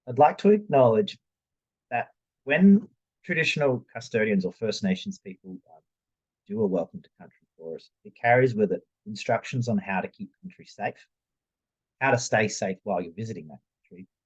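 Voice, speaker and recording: A man with an Australian accent speaks at medium pitch and a moderate pace, somewhat breathy, with very wide pitch swings and big swings in loudness. The sound is dry and close with no echo, and he leaves long, frequent pauses. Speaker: youth worker and adventure therapist. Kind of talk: presentation.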